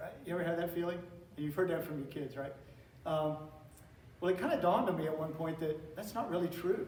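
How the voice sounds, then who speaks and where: Someone with an American accent speaks at a very fast pace with fairly even intonation and long, frequent pauses, amid noticeable background noise and audible room echo. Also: man, high pitch for a man. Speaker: teacher giving a talk on classical education. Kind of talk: lecture. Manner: conversational, with repetitions and fillers.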